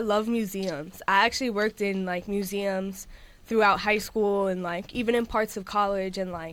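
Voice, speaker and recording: With a New York accent, a woman speaks at a medium pitch in a bright, sharp tone, in a very clean recording with a silent background. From New York City. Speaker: musician. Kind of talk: interview. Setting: radio studio. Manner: loud.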